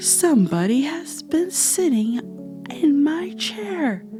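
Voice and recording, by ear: A put-on character voice, fairly high-pitched, at a very slow pace over clear music in the background.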